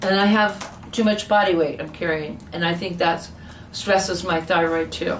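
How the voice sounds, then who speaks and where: With noticeable background noise and audible room echo, a woman talks at a moderate pace in a fairly low pitch with fairly even intonation. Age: 60s. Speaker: naturopathic patient. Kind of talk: medical consultation.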